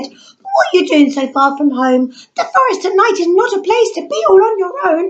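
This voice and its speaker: A woman's put-on character voice, squeaky and extremely high-pitched, at a moderate pace. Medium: read story.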